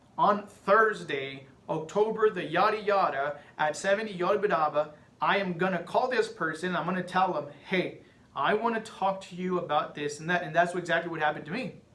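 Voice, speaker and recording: A man talks at a fairly quick pace with a Spanish accent, high pitch and ordinary pitch variation, amid noticeable background noise. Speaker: podcaster. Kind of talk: casual monologue.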